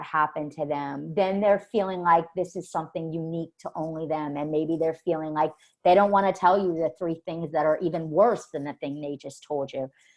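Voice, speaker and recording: A woman with a fairly low pitch speaks at a moderate pace, her pitch varying in an ordinary way. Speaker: forensic mental health evaluator. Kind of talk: webinar presentation. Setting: online webinar. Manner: loud; verbose.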